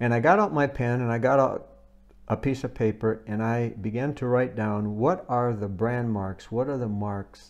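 Music plays in the background as a man speaks in an American accent. His medium pitch shows ordinary variation at a moderate pace. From United States. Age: 70s. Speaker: visiting preacher. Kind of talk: sermon. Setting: speaking to a camera for a recorded service.

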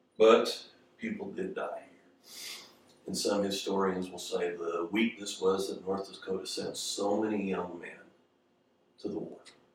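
Over noticeable background noise and audible room echo, a man talks at a fairly slow pace, his loudness swinging widely. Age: 50s. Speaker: pastor. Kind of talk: sermon.

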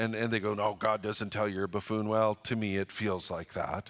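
In a Western Canadian accent, a man speaks at a fairly quick pace with a bright, sharp tone. The recording is very clean, with a silent background. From Canada, northern British Columbia. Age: 60s. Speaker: pastor. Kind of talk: sermon. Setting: church.

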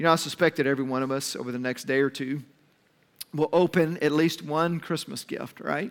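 A man at a fairly high pitch and fairly quick pace, fairly even intonation, an ordinary speaking voice. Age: 50s. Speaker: pastor. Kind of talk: sermon.

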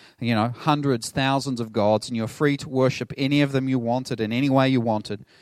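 Recorded very cleanly against a silent background, a man with a New Zealand accent speaks at medium pitch with fairly even intonation. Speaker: pastor. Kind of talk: sermon. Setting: church.

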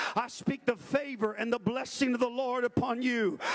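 Noticeable background noise sits behind this voice. The tone is intense and animated, delivered at a moderate pace. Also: man. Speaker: preacher. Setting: church; livestreamed to online viewers as well as a live congregation.

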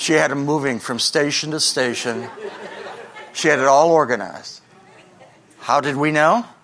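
At a moderate pace, a man with a fairly high pitch and ordinary pitch variation speaks with long, frequent pauses against noticeable background noise. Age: 70s. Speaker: pastor. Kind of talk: sermon. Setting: church. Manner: animated.

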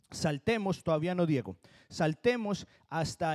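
A man with a Colombian accent, high in pitch, dark and mellow in tone, very slow in pace, with lively intonation. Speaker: pastor. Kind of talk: sermon.

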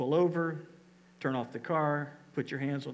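A man with a normal speaking voice talks fairly quickly at a fairly high pitch, keeping his intonation fairly even. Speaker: pastor. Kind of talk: church service conversation with a guest. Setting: church.

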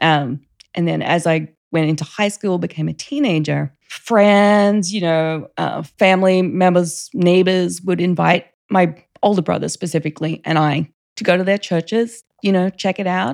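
The woman has an Australian accent and a fairly low pitch. She talks at a moderate pace with ordinary pitch variation. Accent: Australian, still noticeable. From Australia, Queensland (Rockhampton). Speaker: church member sharing her faith story. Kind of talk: casual interview, personal testimony.

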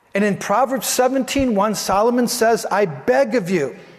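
A man with an extremely high pitch speaks at a very slow pace, with noticeable background noise and audible room echo. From Italian heritage. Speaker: pastor. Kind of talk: sermon. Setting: church. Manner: loud.

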